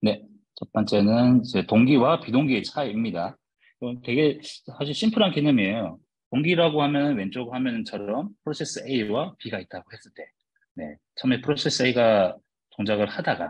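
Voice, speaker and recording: The speaker is a man with a medium pitch and lively intonation. His loudness swings widely. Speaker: software developer giving guest lecture. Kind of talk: lecture. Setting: online video lecture. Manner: tends to speak fast.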